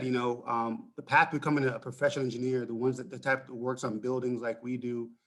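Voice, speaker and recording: With a Jamaican accent, a man talks at a fairly quick pace. His pitch is medium. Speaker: mechanical engineer. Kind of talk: casual conversation panel.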